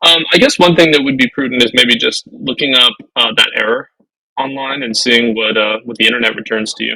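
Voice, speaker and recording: The tone is bright and sharp, with ordinary pitch variation. Delivery moves at a fairly quick pace. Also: man, medium pitch for a man. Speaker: web developer co-hosting a learning stream. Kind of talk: casual live coding session. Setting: live stream. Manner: mumbling while thinking.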